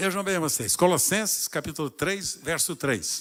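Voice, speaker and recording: On a very clean recording with a silent background, a man with a high pitch speaks in an animated tone. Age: 80s+. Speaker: pastor. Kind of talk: sermon. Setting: church.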